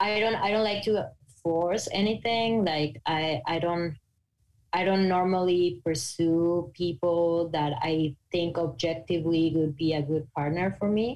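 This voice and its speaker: A woman with a Mexican accent speaks very slowly in a fairly low voice. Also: very even loudness. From Mexico. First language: Spanish. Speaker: podcaster on non-monogamy. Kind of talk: interview conversation. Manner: articulate.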